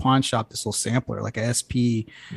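Recorded with a dry, close sound and no echo, a plain, everyday voice with an American accent speaks at a moderate pace. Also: man. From Houston, Texas. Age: 40s. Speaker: podcast host. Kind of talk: casual chat. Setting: studio.

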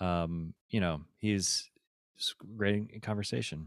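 The speaker is a man with a very deep, low pitch. The recording is very clean, with a silent background. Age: 40s. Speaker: podcast host and men's life coach. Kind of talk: casual chat.

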